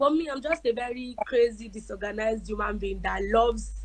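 This is a woman speaking. Her pace is moderate. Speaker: guest. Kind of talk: interview answer. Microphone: phone near.

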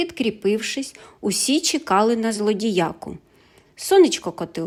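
Lively intonation marks the natural reading voice heard here.

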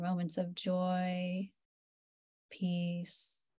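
The woman's voice is somewhat breathy. Her pitch is medium. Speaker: meditation teacher. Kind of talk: guided meditation, calm and unhurried, leading a yoga nidra class. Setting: video call. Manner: slow; soft-spoken.

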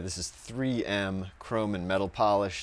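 The man's voice sounds dry, with no echo. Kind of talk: tutorial. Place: garage. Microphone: lapel.

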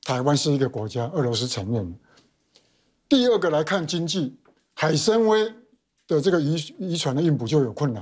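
Over a quiet background, a man with a fairly high pitch talks at a moderate pace, with very wide pitch swings and long, frequent pauses. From Taiwan, Xiaoliuqiu Pingtung. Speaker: political commentator. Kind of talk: heated debate. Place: studio. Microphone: lapel.

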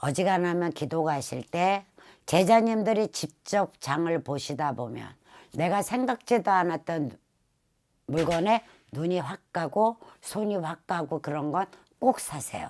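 This woman talks at a very slow pace with lively intonation and a fairly low pitch. The recording is very clean, with a silent background. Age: old. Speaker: shaman fortune teller. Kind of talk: casual talk to camera.

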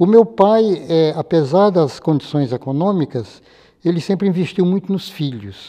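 In a quiet background, a man with a high pitch and a dark, mellow tone speaks at a fairly slow pace. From Ceará, northeastern Brazil. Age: 80s+. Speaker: mathematician. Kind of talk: interview testimony; interview answer. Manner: halting, with frequent fillers. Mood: calm, reflective. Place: studio. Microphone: lapel.

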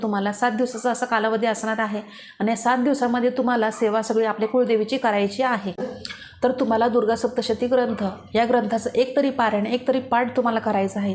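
Noticeable background noise sits behind a woman's fairly high voice. Her intonation is monotone and flat. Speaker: devotional YouTuber. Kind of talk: religious tutorial. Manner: informal.

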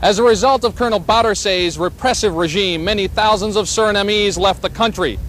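A man's high voice, serious in tone, at a fairly quick pace with fairly even intonation, against noticeable background noise. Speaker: TV news reporter. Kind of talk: 1980s TV news report narration. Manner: formal, measured, steady broadcast delivery; authoritative, even-paced, serious.

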